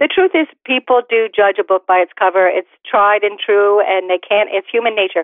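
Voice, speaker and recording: A woman's medium-pitched, plain, everyday voice at a moderate pace, with ordinary pitch variation, very even loudness and hardly any pauses. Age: 50s. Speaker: career expert and author. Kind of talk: radio interview.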